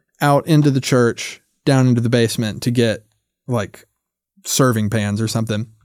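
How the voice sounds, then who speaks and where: With an American accent and an ordinary speaking voice, the man talks at a moderate pace, medium pitch and fairly even intonation. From US South, North Carolina. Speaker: puppeteer and content creator. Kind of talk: casual interview chat.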